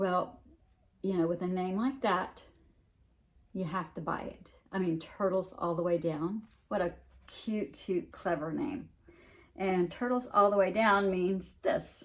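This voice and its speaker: A woman with a Southern US accent talks at a fairly slow pace, with long, frequent pauses. Her pitch is medium, with ordinary pitch variation. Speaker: cross-stitch hobby vlogger. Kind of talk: casual show-and-tell vlog. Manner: words slurred together; halting, many fillers.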